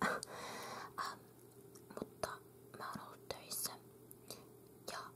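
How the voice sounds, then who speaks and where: A woman whispers with noticeable background noise behind her. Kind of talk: ASMR magazine reading. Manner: whispered.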